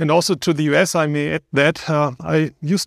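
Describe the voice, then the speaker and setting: In a very clean recording with a silent background, a man with a German accent talks at a fairly quick pace in a fairly high pitch. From Germany. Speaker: professor. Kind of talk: live podcast discussion. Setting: stage with audience.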